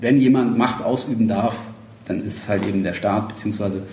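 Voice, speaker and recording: A man's fairly slow speech with audible room echo and noticeable background noise. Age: 30s. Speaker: political activist. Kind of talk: casual interview. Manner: halting, many fillers.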